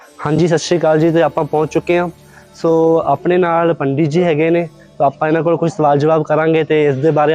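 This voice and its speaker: A man's fairly high voice in a flat monotone, dry, close sound with no echo, and music in the background. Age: 20s. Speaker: travel vlogger. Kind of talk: casual talk to camera.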